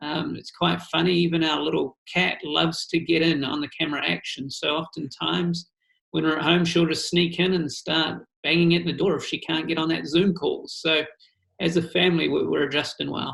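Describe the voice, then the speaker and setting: A man with a New Zealand accent, at a moderate pace. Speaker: missions pastor. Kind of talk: video call interview.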